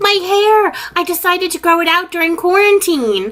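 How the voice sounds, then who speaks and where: Using a squeaky, put-on character voice at an extremely high pitch, a woman talks at a moderate pace with ordinary pitch variation. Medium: stage play.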